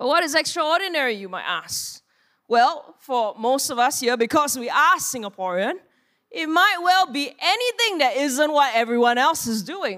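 With a bright, sharp tone and a high pitch, a woman talks at a moderate pace as her voice swings very widely in pitch. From Singapore. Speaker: pastor. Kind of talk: sermon. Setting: church.

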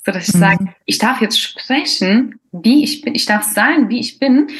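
A woman's somewhat breathy voice, fairly slow, with lively intonation. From Croatian roots. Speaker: podcast host. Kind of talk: casual interview.

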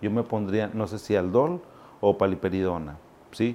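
A man's dark, mellow tone at a moderate pace with ordinary pitch variation. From Zacatecas, Mexico; raised in Monterrey from age 7. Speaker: psychiatrist. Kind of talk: educational talk to camera. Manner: animated; conversational.

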